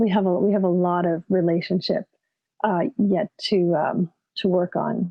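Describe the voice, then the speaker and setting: A woman with a Canadian accent, an ordinary speaking voice, medium pitch, fairly even intonation and a moderate pace. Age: 50s. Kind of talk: conference talk. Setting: video call.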